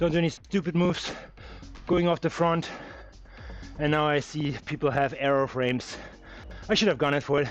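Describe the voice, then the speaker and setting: A man with a fairly high voice and a German accent, fairly quick in pace, very even in loudness, with long, frequent pauses and music in the background. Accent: German accent, mistaken for South African. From Germany. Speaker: cycling live streamer. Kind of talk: live race commentary. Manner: animated.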